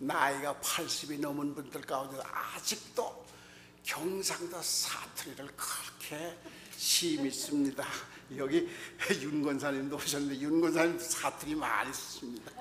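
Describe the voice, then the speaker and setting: A man speaks at a fairly slow pace with fairly high pitch and fairly even intonation. Audible room echo and noticeable background noise accompany him. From North Korea, North Pyongan province. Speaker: pastor. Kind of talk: sermon.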